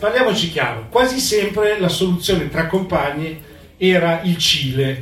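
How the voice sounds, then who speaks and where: Amid audible room echo and noticeable background noise, a man speaks at a moderate pace in a high pitch with lively intonation. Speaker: activist and restaurateur. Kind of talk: talk to a live audience. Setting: community venue with audience.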